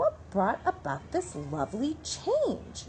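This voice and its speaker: A woman puts on a character voice at a fairly slow pace, with clear background noise behind her. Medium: read story. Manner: sweet, gentle.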